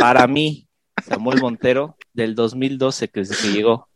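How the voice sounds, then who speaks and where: A man speaks in a normal speaking voice at a fairly slow pace. His pitch is medium with ordinary variation, and the sound is dry and close, with no echo. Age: 20s. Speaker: podcast co-host, football fan. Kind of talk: casual chat.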